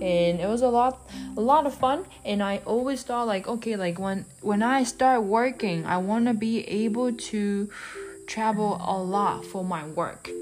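Over noticeable background noise, a woman with a Japanese accent speaks at a fairly slow pace and fairly high pitch, with ordinary pitch variation. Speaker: podcast host. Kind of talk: casual monologue. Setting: on the road while traveling.

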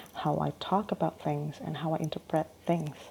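A woman's very deep, low voice with a dark, mellow tone and a non-native accent. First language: not English. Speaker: solo podcaster. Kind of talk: casual monologue. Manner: hesitant, many fillers.

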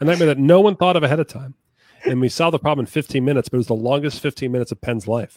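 Talking at a very fast pace, a man uses a fairly high pitch and ordinary pitch variation, with a dry, close sound and no echo. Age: 40s. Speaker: magician and comedy writer. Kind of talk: casual interview.

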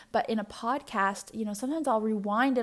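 A woman with a fairly high-pitched voice talks at a very fast pace. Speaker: podcast host and registered nurse. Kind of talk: casual solo monologue.

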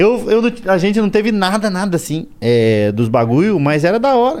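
A man with a high pitch talks at a fairly quick pace, his pitch swinging very widely. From southern Brazil, Curitiba area (Paraná). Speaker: stand-up comedian. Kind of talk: casual chat. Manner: animated.

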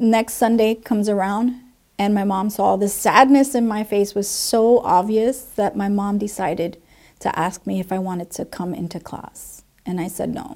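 A woman with a New Jersey accent, medium pitch, ordinary pitch variation and a moderate pace. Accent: New Jersey American English. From New Jersey, Puerto Rican family. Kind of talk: personal testimony.

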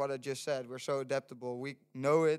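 With a Dutch accent, the speaker talks at a moderate pace in a dry, close sound with no echo. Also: man. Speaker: student sustainability organizer. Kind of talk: casual chat. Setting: studio.

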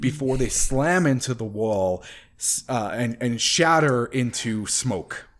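Someone does plain reading aloud here.

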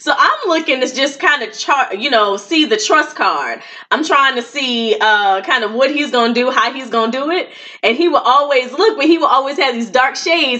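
A woman projects a raised, high voice with lively intonation at a moderate pace. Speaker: podcast co-host, marriage coach. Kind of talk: live event recap, casual chat.

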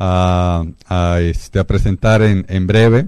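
On a very clean recording with a silent background, a man's tone comes across dark and mellow. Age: 40s. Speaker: radio host. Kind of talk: casual chat. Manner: halting, many filler words and repetitions.

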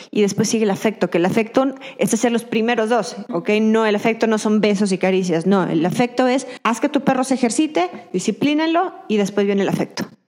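Over noticeable background noise, a woman speaks at a fairly quick pace with very even loudness and ordinary pitch variation. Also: fairly high pitch for a woman. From Mexico, Durango. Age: 30s. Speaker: dog trainer and behaviorist. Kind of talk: interview.

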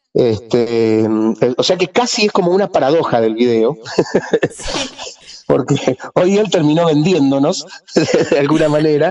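A man talks at a fairly slow pace, leaving long, frequent pauses. His intonation is lively, and there is noticeable background noise. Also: fairly high pitch for a man. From Argentina, Rosario. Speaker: musician, bandleader. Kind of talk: radio interview.

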